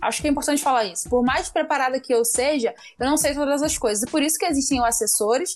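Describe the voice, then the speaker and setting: Very fast delivery with lively intonation. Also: woman, high pitch for a woman. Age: 20s. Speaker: municipal election candidate. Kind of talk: interview.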